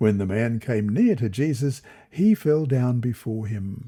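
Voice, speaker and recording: Somewhat breathy, this voice has a dark, mellow tone. It carries an Australian accent. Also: man. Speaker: Bible study reader. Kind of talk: Bible lesson reading.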